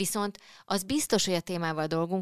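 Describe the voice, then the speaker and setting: A woman with a plain, everyday voice at a moderate pace, in a very clean recording with a silent background. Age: middle-aged. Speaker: podcast host. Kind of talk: casual chat. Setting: studio.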